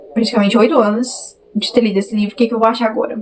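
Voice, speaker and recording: This woman's voice is fairly high in pitch, with noticeable background noise around it. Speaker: book youtuber. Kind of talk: casual vlog chat. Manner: animated, chatty.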